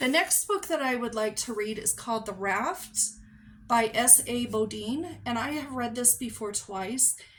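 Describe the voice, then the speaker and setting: A woman with a fairly high pitch speaks at a fairly slow pace in a somewhat breathy voice. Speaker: book reviewer. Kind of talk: casual talk to camera.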